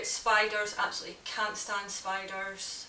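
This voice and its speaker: A Scottish accent in monotone, flat intonation over noticeable background noise. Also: woman. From Scotland. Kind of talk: casual talk to camera.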